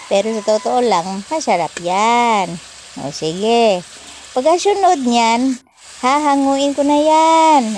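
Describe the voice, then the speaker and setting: A woman speaks at a very slow pace with a high voice and very wide pitch swings. Noticeable background noise sits behind her. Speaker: home cooking vlogger. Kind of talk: cooking tutorial. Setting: home kitchen. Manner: uses a put-on, not her normal voice; casual, chatty.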